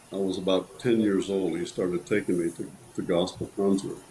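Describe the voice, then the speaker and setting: A man with an American accent talks at a moderate pace. His pitch is very deep and low, and his intonation stays fairly even. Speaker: bass singer. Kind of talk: interview.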